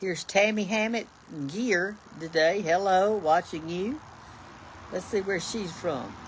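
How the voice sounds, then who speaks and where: Speaking in a Southern US accent at a fairly slow pace with long, frequent pauses, a woman uses a medium pitch and ordinary pitch variation. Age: 70s. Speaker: online cooking personality. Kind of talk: casual livestream chat. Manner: folksy, chatty.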